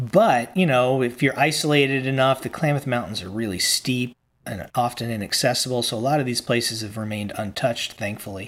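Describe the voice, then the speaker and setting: Speaking at a fairly quick pace, a man with an unremarkable speaking voice holds a medium pitch with ordinary pitch variation. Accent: American. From Virginia, US. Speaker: author and educator. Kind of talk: interview.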